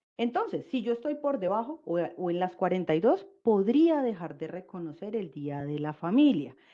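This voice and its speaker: A woman speaks with hardly any pauses and very wide pitch swings. Her tone is dark and mellow, and the background is quiet. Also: medium pitch for a woman. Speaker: labor law presenter. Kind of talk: webinar presentation. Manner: fast.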